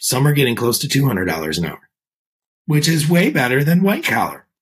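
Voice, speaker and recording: A somewhat breathy man's voice with very wide pitch swings. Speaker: podcast host. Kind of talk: interview conversation.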